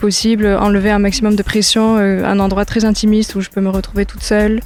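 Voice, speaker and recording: A woman's medium-pitched, monotone, flat delivery at a very fast pace, with music in the background. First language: English (speaking French). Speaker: singer-songwriter. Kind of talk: interview. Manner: hesitant, many fillers.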